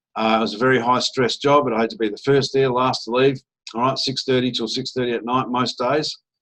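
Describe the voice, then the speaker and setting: This voice carries an Australian accent. It speaks with monotone, flat intonation. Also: man. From Australia (Adelaide). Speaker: network marketer / investment promoter. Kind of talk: sales pitch presentation. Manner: casual, filler-heavy.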